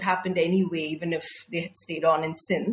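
A woman is speaking. She keeps a moderate pace. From South India. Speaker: author and editor. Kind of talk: interview.

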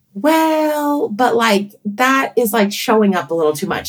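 A woman at medium pitch is heard against noticeable background noise. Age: 40s. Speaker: pediatrician and author. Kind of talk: casual interview.

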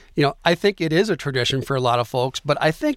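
A man with an Upper Midwest accent, fairly high pitch and lively intonation, on a very clean recording with a silent background and a dry, close sound with no echo. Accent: Upper Midwest American. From Michigan, Mount Pleasant. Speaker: radio co-host, tourism representative. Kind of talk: radio interview show.

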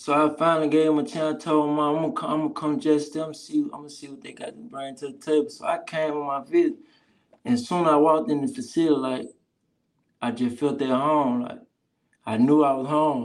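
Here a man speaks at a fairly high pitch with ordinary pitch variation. His loudness swings widely. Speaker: college football player. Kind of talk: casual interview.

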